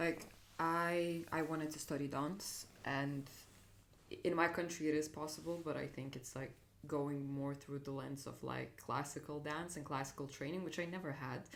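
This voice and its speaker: In a Lithuanian accent, a woman with a very deep, low pitch speaks at a moderate pace in a monotone, flat intonation, with audible room echo. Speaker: dance producer and dancer. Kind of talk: casual chat. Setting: on a couch at home.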